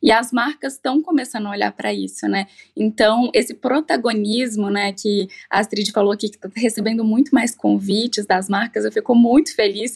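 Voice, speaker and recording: The sound is dry and close with no echo as a woman speaks at a moderate pace in a fairly high, somewhat breathy voice, with ordinary pitch variation and big swings in loudness. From Minas Gerais, Brazil. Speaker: longevity entrepreneur. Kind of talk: casual chat.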